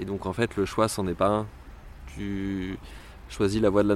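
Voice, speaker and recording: A man's fairly low pitch at a moderate pace. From rural France. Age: 30s. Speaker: pride march organiser. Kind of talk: interview testimony. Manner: hesitant, many fillers.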